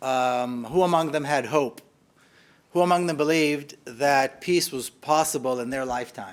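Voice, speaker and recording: Fairly high male pitch with ordinary variation, at a moderate pace. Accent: Israeli. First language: Hebrew. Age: 50s. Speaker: author and activist. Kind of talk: public lecture. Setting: hall with live audience.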